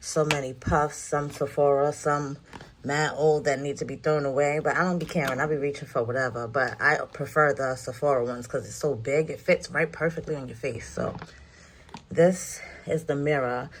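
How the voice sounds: A woman's low voice with a New York accent, fairly even intonation, and a moderate pace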